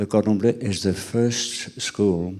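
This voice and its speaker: Speaking at a fairly slow pace with a French accent, a man with fairly low pitch uses ordinary pitch variation. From France (Cognac region). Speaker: president of a culinary school. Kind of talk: interview. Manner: halting, many fillers.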